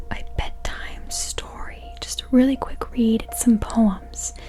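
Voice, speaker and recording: There is noticeable background noise. Through it, a woman speaks at a very slow pace. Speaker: ASMR meditation guide. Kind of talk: casual talk to camera. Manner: whispered.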